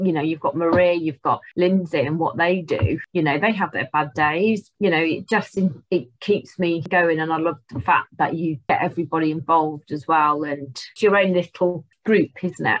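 With an English Midlands accent, a woman speaks at a fairly low pitch with ordinary pitch variation and hardly any pauses. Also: moderate pace. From Rugby, Warwickshire, England. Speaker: beauty and holistic therapist. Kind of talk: interview.

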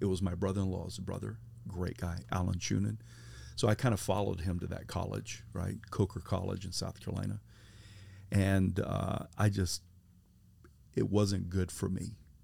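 In a very clean recording with a silent background, a man with an American accent speaks at a very deep, low pitch in a dark, mellow tone with vocal fry, ordinary pitch variation and long, frequent pauses. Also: moderate pace. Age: 50s. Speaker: pastor. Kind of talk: testimony. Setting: camper van mobile studio.

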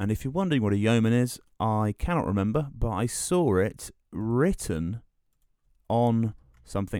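A man with a dark, mellow tone and a southern English accent, at a moderate pace, on a very clean recording with a silent background. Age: 20s. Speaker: podcast host. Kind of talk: solo monologue, casual. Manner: halting, many fillers.

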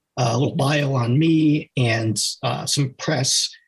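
In an American accent, a man speaks somewhat breathily at a fairly high pitch with ordinary pitch variation. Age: 50s. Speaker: fiction author. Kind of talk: interview.

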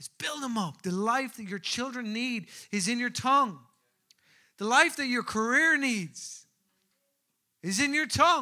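A man with an Irish accent speaks at an extremely high pitch in a raised, projected voice with a bright, sharp tone, lively intonation and big swings in loudness. He talks at a fairly slow pace with long, frequent pauses on a very clean recording with a silent background. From Ireland, Newbridge, County Kildare. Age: 30s. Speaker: pastor. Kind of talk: sermon. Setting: church.

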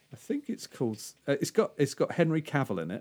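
With a British accent, a man talks at a fairly high pitch. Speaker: podcast host. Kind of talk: casual chat.

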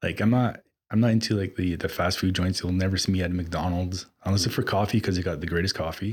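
Fairly even intonation in a very deep, low male voice. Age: 40s. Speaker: personal trainer and gym owner. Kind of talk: casual chat.

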